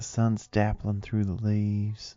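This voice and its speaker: Soft-spoken and gentle in tone, a man with a Southern US accent talks at a fairly slow pace and fairly low pitch while music plays in the background. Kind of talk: ASMR affirmation audio. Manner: soft-spoken, gentle.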